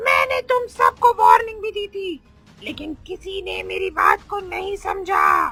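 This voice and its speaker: A cartoonish character voice at an extremely high pitch moves at a fairly slow pace, with faint music in the background. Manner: harsh, threatening.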